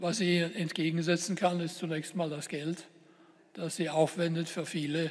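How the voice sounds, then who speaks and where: Monotone and flat, a man speaks at a moderate pace in a high pitch. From Germany. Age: 70s. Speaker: politician and professor giving a talk; politician, professor giving a talk. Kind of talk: lecture. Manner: formal. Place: hall.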